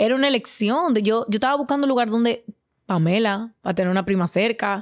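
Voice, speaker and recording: At a fairly quick pace, a woman speaks in a plain, everyday voice with fairly high pitch and ordinary pitch variation. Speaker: podcast co-host. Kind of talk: casual chat.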